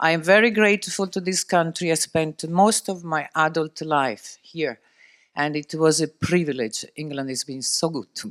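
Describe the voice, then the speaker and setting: Speaking with an Italian accent and lively intonation, a high-pitched man keeps a moderate pace on a very clean recording with a silent background and dry, close sound with no echo. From Italy. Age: 60s. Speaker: shipping executive. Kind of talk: interview.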